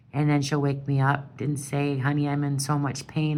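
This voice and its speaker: A woman with an American accent and a very deep, low pitch, with audible room echo. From Wisconsin. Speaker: caregiver of a sick partner. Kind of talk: personal appeal monologue. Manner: loud; halting.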